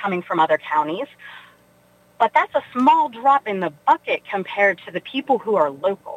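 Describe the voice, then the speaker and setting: Noticeable background noise sits behind a woman with an American accent. Her fairly high voice moves at a moderate pace with very wide pitch swings. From West Virginia (Weirton). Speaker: nonprofit chief executive. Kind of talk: radio interview.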